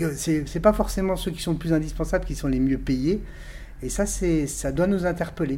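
Fairly slow, fairly high-pitched speech from a man, dark and mellow in tone, with ordinary pitch variation. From Alsace, France (Colmar). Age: 50s. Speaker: parliamentary candidate. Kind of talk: political interview. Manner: halting, frequent repetitions.

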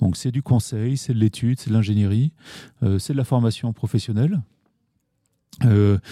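A man's dark, mellow tone, dry and close with no echo. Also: very clean recording, silent background. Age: 40s. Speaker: founder of an ecological business cooperative. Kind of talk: podcast interview. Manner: hesitant, frequent fillers and restarts.

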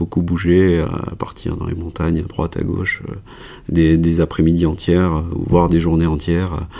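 A man's very deep, low voice at a moderate pace, monotone and flat in intonation. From France, Cantal (Auvergne). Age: 40s. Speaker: emergency and sports doctor. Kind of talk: casual interview. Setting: in person, same room.

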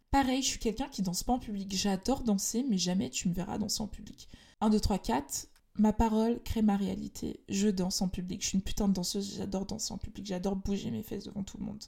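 Over a very clean recording with a silent background, a woman speaks at a fairly quick pace in a dark, mellow tone with vocal fry, a medium pitch and ordinary pitch variation. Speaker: podcast host, personal development and spirituality. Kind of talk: solo monologue podcast.

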